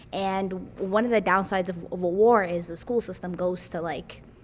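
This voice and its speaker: Talking at a moderate pace, a woman with a Somali accent keeps a medium pitch and fairly even intonation. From Somalia, came to Minnesota as a child. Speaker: community member. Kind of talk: casual chat. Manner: halting, many fillers.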